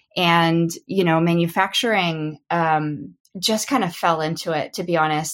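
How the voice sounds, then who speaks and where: A woman with an American accent has an unremarkable speaking voice at a fairly low pitch. Her intonation is fairly even and her pace fairly slow, on a very clean recording with a silent background. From Oklahoma, England and Texas. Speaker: knitwear manufacturer. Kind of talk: interview conversation.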